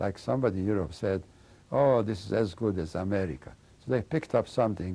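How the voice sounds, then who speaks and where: Lively in intonation, a man with a fairly low, dark, mellow voice talks with vocal fry. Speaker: Holocaust survivor. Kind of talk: testimony. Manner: mumbling; halting.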